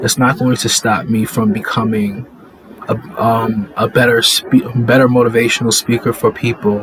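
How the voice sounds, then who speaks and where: Noticeable background noise sits under a man's voice. He speaks at a fairly slow pace with a medium pitch and ordinary pitch variation. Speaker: faith vlogger. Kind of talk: inspirational monologue. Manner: halting, with pauses.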